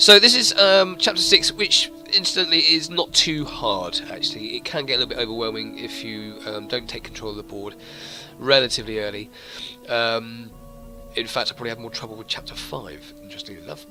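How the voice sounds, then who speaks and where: With music in the background, a man talks at a fairly quick pace, his loudness swinging widely. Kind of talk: game guide commentary. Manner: quiet.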